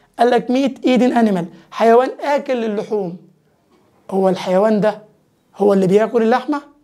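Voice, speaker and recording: With an Egyptian accent, a man speaks at a moderate pace and a high pitch, with ordinary pitch variation. Long, frequent pauses mark his speech against a quiet background. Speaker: English teacher. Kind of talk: lecture. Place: studio. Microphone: lapel.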